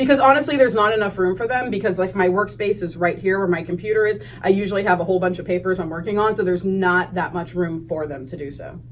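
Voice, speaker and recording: A woman with an American accent talks at a very fast pace, with hardly any pauses. Her pitch is medium with ordinary variation, and background noise is noticeable. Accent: Pennsylvania accent, per others. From northeast Ohio (Hubbard, near Youngstown). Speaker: high school teacher. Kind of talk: interview.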